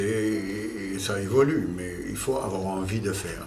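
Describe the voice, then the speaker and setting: A man's voice comes with audible room echo and noticeable background noise. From Germany. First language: German (speaking French). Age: 60s. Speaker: company founder. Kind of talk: corporate interview. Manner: hesitant, many fillers.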